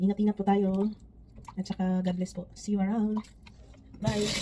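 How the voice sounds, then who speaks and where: Amid noticeable background noise, a woman speaks in a monotone, flat intonation. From Philippines. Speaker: vlogger. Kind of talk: casual vlog talk.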